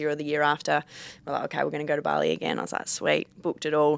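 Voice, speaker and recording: A woman with a very deep, low pitch is captured in a very clean recording against a silent background. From Perth, Western Australia. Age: 20s. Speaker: Australian rules football player. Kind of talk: casual chat.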